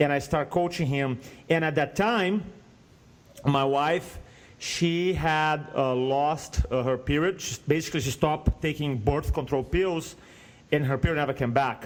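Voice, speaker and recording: Over music in the background, a man with a slight Brazilian accent talks at a fairly slow pace, his fairly high pitch showing ordinary variation. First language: Portuguese. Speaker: speaking coach. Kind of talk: podcast interview, personal story. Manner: animated storytelling.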